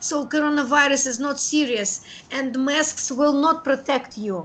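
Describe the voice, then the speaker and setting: With a high pitch and ordinary pitch variation, a woman is speaking. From Russia, Krasnoyarsk. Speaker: teacher. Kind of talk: video call conversation. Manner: halting with many fillers.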